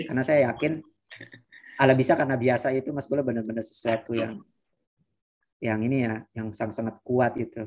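Against a quiet background, the speech moves at a fairly quick pace with fairly even intonation and long, frequent pauses. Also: man. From West Nusa Tenggara, Indonesia. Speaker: master's student; guest. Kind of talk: presentation in online interview; webinar talk and interview answer. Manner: halting, many fillers. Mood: warm, encouraging. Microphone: video call.

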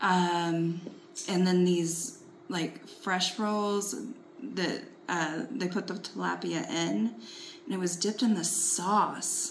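A woman at a very slow pace, with light background noise. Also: ordinary pitch variation. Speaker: travel vlogger. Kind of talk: casual chat. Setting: outdoors. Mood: warm, enthusiastic recap.

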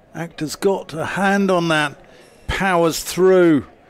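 A man talks very slowly while noticeable background noise carries on behind him. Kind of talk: live commentary.

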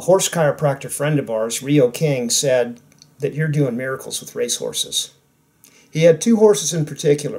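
A man speaks at a moderate pace against a quiet background, somewhat breathy and with ordinary pitch variation. His loudness swings widely. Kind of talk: casual storytelling. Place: home room.

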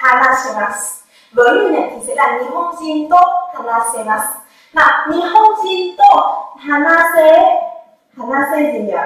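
A woman's high-pitched voice with very wide pitch swings, big swings in loudness and a fairly slow pace, strong room echo against a quiet background. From Vietnam. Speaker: Japanese language teacher. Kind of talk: lecture. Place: classroom. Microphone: camera far.

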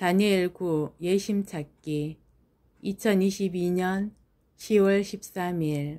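Speaking at a very slow pace, a woman has a dark, mellow tone and fairly even intonation. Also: medium pitch for a woman. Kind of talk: spoken prayer and self-reflection. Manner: starts slow, speeds up toward the end; uneven pacing.

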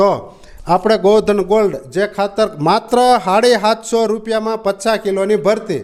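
This man's voice sits at a high pitch. His intonation stays fairly even. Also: very even loudness. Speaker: farmer and fertilizer seller. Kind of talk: promotional farm video. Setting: on the farm.

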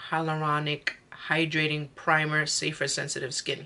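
A woman speaks with a very deep, low pitch. Her tone is bright and sharp. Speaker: beauty vlogger. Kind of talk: casual makeup tutorial chat. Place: home room. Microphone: phone near.

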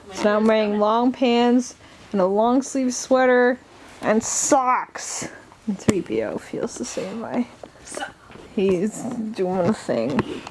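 Over noticeable background noise, a woman with a fairly high voice speaks at a very slow pace, leaving long, frequent pauses, her pitch varying in an ordinary way. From Canada. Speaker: vlogger. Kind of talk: casual chat. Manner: animated. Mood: playful, amused. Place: home room. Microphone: phone near.

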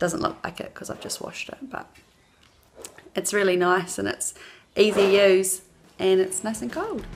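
At a moderate pace and with a New Zealand accent, a woman speaks with lively intonation, big swings in loudness and long, frequent pauses over light background noise. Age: 20s. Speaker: mother, customer. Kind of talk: customer testimonial to camera. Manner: casual, hesitant. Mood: cheerful, friendly. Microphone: phone near.

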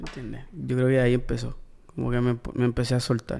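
With flat, monotone intonation, the man's tone comes across dark and mellow. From US (Maryland/Washington D.C.), then Puerto Rico from 15. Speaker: musician. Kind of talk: casual interview. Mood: relaxed, reflective. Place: studio. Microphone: studio mic.

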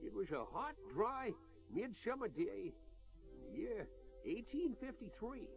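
A man performs a put-on character voice in a Western US accent, drawling at an extremely high pitch. His pitch swings very wide. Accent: old west rural drawl. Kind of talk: comic western radio serial. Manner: folksy, drawling, says "yeah" a lot.

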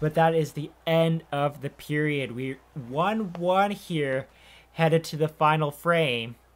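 This man's voice sits fairly high. The rise and fall of his pitch is ordinary. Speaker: video game streamer and sports commentator. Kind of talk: live play-by-play commentary over video game footage, mixed with casual chat. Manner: rapid-fire, excitable play-by-play; clipped name-and-action calls; chatty, conversational between plays. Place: home room.

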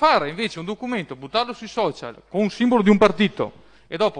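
Against a quiet background, a man delivers his words at a fairly quick pace. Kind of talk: council debate speech.

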